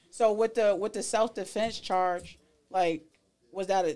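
Recorded very cleanly against a silent background, a woman with an ordinary speaking voice talks at a fairly slow pace, medium in pitch with ordinary pitch variation. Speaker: podcast host.

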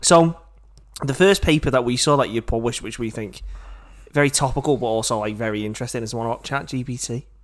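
An animated man at a very fast pace, medium in pitch with ordinary pitch variation. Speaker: podcast host. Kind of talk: casual chat. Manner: jokey, animated.

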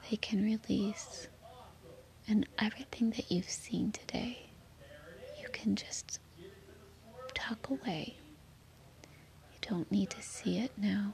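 Whispering in a soothing, gentle tone, the speaker goes very slowly with long, frequent pauses over noticeable background noise. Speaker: meditation guide. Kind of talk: guided sleep meditation. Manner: slow, soothing and gentle; soft-spoken, calm, with long pauses.

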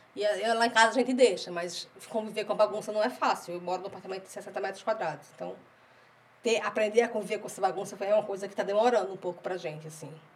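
Words come out at a very fast pace, with loudness swinging widely. The intonation stays fairly even over noticeable background noise. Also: woman, medium pitch for a woman. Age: 30s. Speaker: podcast co-host, mother. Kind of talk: casual chat.

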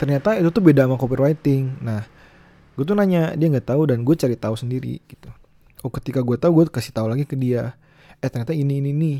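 A man at a very fast pace, with a fairly high pitch, a dark, mellow tone and ordinary pitch variation. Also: dry, close sound with no echo. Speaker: podcaster. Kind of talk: casual solo talk.

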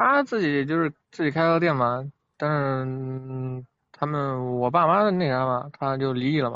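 At a fairly slow pace, a plain, everyday voice speaks with fairly even intonation. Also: man, fairly high pitch for a man. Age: 20s. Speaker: food delivery rider. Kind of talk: call-in advice chat.

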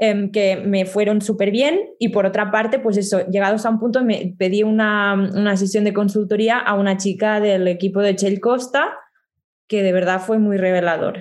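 Speaking at a moderate pace, a woman with an ordinary speaking voice keeps a medium pitch, fairly even intonation and very even loudness. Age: 20s. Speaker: communication coach and singer-songwriter. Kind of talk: interview.

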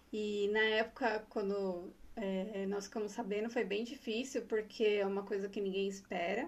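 With an unremarkable speaking voice, a woman talks at medium pitch and a moderate pace, with hardly any pauses. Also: fairly even intonation. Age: 40s. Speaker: breast cancer survivor, HR professional. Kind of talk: personal testimony in casual interview.

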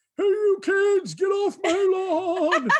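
The put-on character voice has an extremely high pitch. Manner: grumpy, shouting.

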